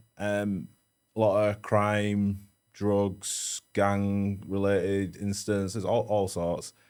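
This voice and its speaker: A mumbling man at a very slow pace, fairly low in pitch and monotone, with a Leeds accent, in a very clean recording with a silent background. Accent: Yorkshire (Leeds). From northern England, Leeds (Meanwood). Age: 30s. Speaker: security professional / bodyguard. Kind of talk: casual chat.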